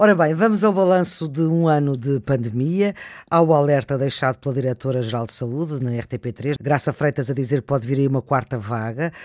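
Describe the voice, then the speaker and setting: A man with a plain, everyday voice, fairly high in pitch, talks at a fairly quick pace with hardly any pauses, ordinary pitch variation and a dry, close sound with no echo. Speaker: radio host. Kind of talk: radio panel moderation. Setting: remote, each in own place.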